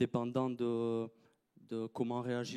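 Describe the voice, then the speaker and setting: A man with a medium-pitched, dark and mellow voice, recorded dry and close with no echo. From France, Landes (southwest). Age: 20s. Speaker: groundsman. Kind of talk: conference talk. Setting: stage with audience. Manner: halting, many hesitations.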